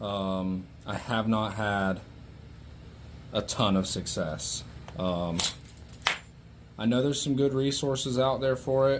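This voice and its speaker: Mumbling at a very slow pace, a man leaves long, frequent pauses in a room with audible echo. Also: medium pitch for a man, ordinary pitch variation. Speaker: flintknapper. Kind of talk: tutorial. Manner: soft-spoken.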